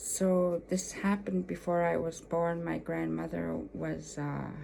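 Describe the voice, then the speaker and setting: With an Alaskan accent, a woman speaks at a fairly slow pace in a very deep, low pitch that swings very widely. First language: Yupik. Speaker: storyteller. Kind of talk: personal storytelling. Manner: halting, many fillers.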